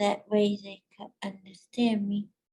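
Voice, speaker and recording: A woman speaks with a fairly high pitch, a somewhat breathy quality and a dark, mellow tone. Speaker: workshop co-presenter. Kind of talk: workshop presentation. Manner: halting.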